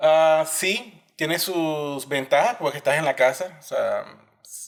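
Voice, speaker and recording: At a very slow pace, a man with a fairly high pitch and ordinary pitch variation talks with big swings in loudness. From Colombia, Barranquilla (Caribbean coast). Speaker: systems engineer, immigrant guest. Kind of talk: podcast interview.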